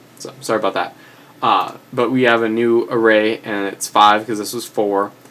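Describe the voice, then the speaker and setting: There is noticeable background noise behind this medium-pitched man. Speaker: programming tutorial maker. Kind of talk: tutorial. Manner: fast; hesitant, many fillers.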